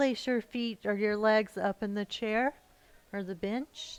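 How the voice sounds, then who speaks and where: The sound is dry and close with no echo as the speaker goes at a very slow pace with fairly even intonation and long, frequent pauses. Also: woman. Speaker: yoga teacher. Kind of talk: guided relaxation; yoga class instruction. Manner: halting, many fillers; relaxed, slurring enunciation when relaxed.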